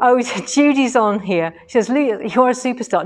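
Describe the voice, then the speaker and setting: A woman's voice, ordinary in its pitch variation and moderate in pace. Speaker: quilting workshop teacher. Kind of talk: casual live stream commentary. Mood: cheerful, laughing. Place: shop. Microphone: phone near.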